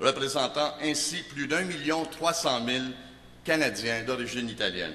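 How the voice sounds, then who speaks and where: Noticeable background noise and audible room echo surround a man at a fairly slow pace. His voice is fairly high, with ordinary pitch variation. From Montreal, Quebec. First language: Italian (speaking French). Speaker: political candidate. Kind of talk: campaign speech.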